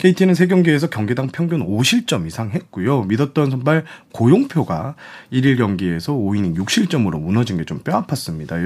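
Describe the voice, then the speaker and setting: The man's pitch is medium and swings very widely. He keeps a moderate pace. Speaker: sports journalist. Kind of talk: panel discussion on baseball.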